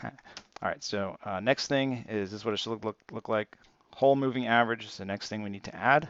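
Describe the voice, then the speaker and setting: Speaking at a fairly quick pace, a man uses a medium pitch with ordinary variation. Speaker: stock trading youtuber. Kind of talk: screen-share tutorial. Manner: fast; casual, with many fillers.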